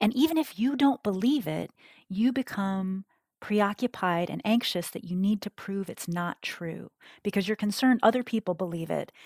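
In an ordinary speaking voice, a woman with an American accent talks at a moderate pace and medium pitch with lively intonation, in a very clean recording with a silent background and a dry, close sound with no echo. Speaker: cognitive scientist and author. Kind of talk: interview.

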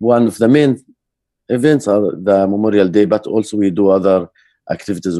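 A man with an Arabic accent talks at a fairly quick pace in a dark, mellow tone, his fairly low pitch showing ordinary variation, in a dry, close sound with no echo. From Jerusalem area, Palestinian. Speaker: peace activist, organization director. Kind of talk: interview.

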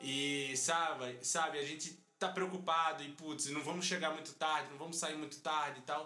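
A man's fairly high, monotone voice with flat intonation at a moderate pace, hardly any pauses, audible room echo and music in the background. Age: 20s. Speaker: podcast host. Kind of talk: casual chat.

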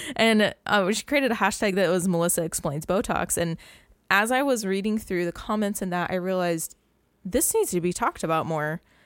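Recorded very cleanly with a silent background, a woman with an unremarkable speaking voice talks at a fairly quick pace, her pitch medium with ordinary variation. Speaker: esthetician and podcast host. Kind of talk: casual chat.

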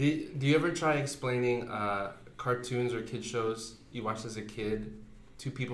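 Audible room echo surrounds a man's medium-pitched voice. He talks at a moderate pace with fairly even intonation. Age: 30s. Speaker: podcast host. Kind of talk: casual chat. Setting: home recording at night.

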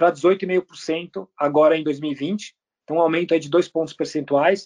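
The sound is dry and close, with no echo. A man with a high pitch speaks at a moderate pace. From Brazil. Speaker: company CEO. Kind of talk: interview.

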